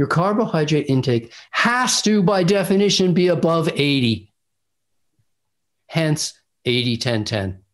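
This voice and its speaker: Pausing long and often, a man speaks fairly slowly with a fairly high pitch, very wide pitch swings, and very even loudness. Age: 60s. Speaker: raw food diet author and doctor. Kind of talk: interview. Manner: assertive.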